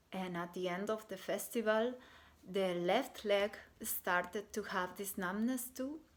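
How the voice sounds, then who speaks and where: Her pace is very slow. The woman's pitch is medium and her intonation fairly even. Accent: Bolivian. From Bolivia. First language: Spanish. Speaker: artist and shamanic healer. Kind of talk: personal testimony. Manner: halting, many fillers.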